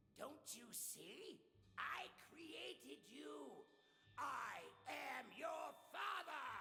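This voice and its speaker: A man's growling, theatrical put-on character voice, very slow, over clear background noise. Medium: video game. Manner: theatrical, gloating.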